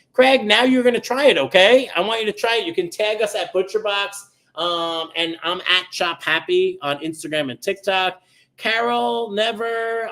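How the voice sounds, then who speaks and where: Bright and sharp, a man's high voice carries a New York accent. He speaks at a fairly slow pace with lively intonation. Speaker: chef. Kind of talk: live cooking stream. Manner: casual, chatty with many ums.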